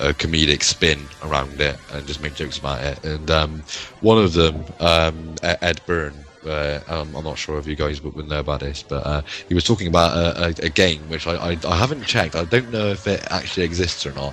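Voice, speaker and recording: This man has a very deep, low pitch and a Bristol accent, with ordinary pitch variation. He talks at a fairly quick pace over noticeable background noise. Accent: West Country (Bristolian). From West Country, England (Bristol). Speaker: gaming YouTuber. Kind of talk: casual chat. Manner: halting, many fillers and repetitions.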